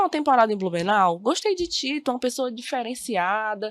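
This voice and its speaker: Here is a woman with a plain, everyday voice, pitched fairly high, and lively intonation. She talks at a fairly quick pace on a very clean recording with a silent background. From Brazil, Maranhão (Bacabal). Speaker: teacher. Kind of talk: podcast interview. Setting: studio.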